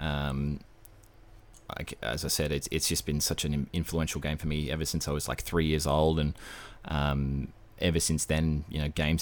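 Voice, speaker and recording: A man's very deep, low voice in an Australian accent, monotone and flat, at a moderate pace. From Australia, Brisbane. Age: 20s. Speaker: gaming podcast host. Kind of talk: casual chat.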